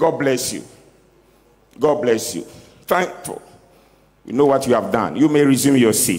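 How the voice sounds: A man at a medium pitch with a slightly mellow tone and lively intonation, moving at a fairly slow pace with long, frequent pauses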